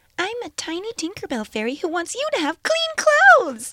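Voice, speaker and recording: In a squeaky, put-on character voice at an extremely high pitch, the speaker goes at a fairly quick pace. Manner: sweet, salesy.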